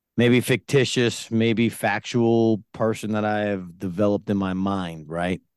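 A man with a normal speaking voice and a fairly low pitch talks with hardly any pauses, recorded with a dry, close sound, no echo and a quiet background. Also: fairly even intonation, fairly slow pace. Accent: American. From New York (Yonkers). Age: 40s. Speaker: business owner. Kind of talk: casual chat.

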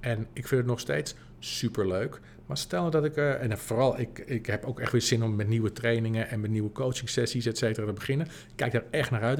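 A man has a normal speaking voice with medium pitch. He talks at a fairly quick pace with ordinary pitch variation. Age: 40s. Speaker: podcast host and business coach. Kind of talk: solo podcast monologue. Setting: empty office.

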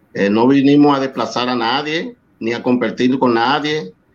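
A man with a Dominican accent, medium pitch, ordinary pitch variation and a fairly slow pace. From Dominican Republic, San Cristóbal. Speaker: salsa singer. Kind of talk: interview.

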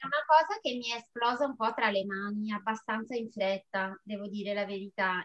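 In a normal speaking voice, a woman speaks at a fairly high pitch with ordinary pitch variation. She keeps a moderate pace. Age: 40s. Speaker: amateur runner and food therapist. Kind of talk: casual interview.

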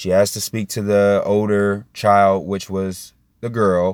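Very slow, flat monotone from a man at fairly low pitch, with an American accent. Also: very clean recording, silent background. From Indiana, US Midwest. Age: 20s. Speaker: podcast host. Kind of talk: solo monologue commentary. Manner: calm, measured.

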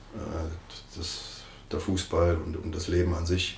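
Amid audible room echo, a man with a very deep, low pitch speaks very slowly in a flat monotone, somewhat breathy. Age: 50s. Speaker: football coach. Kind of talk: interview.

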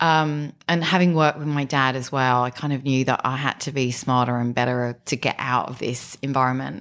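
The delivery moves at a moderate pace with hardly any pauses. Its intonation is fairly even. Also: woman, very deep, low pitch for a woman. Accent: English. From southern England, Kent. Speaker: business executive. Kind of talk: interview.

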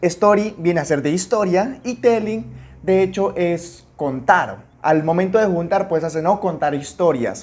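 A man with a high pitch sounds animated, using ordinary pitch variation. His pace is fairly slow. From Peru, Amazon region (Puerto Maldonado). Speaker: podcast host, network marketing coach. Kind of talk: motivational tutorial.

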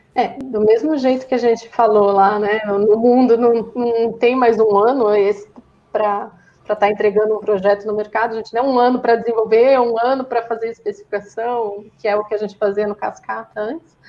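A woman speaks at a moderate pace in a fairly high pitch with flat, monotone intonation over noticeable background noise. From Brazil, São Bernardo do Campo (São Paulo). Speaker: software quality head. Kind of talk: casual interview.

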